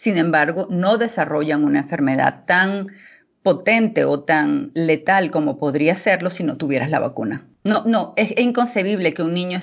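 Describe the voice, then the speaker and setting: A woman's fairly low voice at a moderate pace with lively intonation. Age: 40s. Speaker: clinical pharmacology expert. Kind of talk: interview. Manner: halting.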